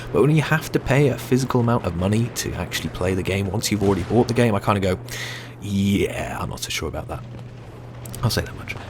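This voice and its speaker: At a very fast pace and with lively intonation, a man speaks in a British accent over noticeable background noise. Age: 20s. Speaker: gaming youtuber. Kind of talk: gameplay commentary answering viewer questions. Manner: frequent hesitations (uh, um).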